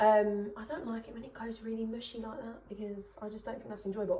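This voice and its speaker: A woman talks at a fairly quick pace with fairly even intonation, amid noticeable background noise and audible room echo. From Essex, England. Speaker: cooking vlogger. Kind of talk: casual cooking vlog. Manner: rambling, chatty with frequent fillers.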